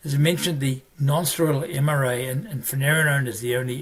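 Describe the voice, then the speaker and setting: With an Australian accent, a man talks at a very fast pace in a fairly high pitch, his intonation fairly even, over noticeable background noise. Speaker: family physician, medical educator. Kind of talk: medical lecture. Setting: virtual presentation.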